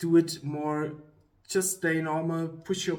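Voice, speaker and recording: A man talks fairly slowly, his voice a little breathy. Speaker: YouTuber giving career advice. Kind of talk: casual talk to camera. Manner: halting, many fillers.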